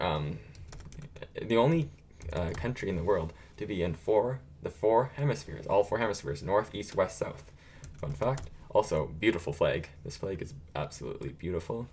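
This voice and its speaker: Somewhat breathy, the voice moves at a moderate pace with very wide pitch swings. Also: man, fairly low pitch for a man. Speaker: gaming streamer. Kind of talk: live stream commentary. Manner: casual, filler-heavy.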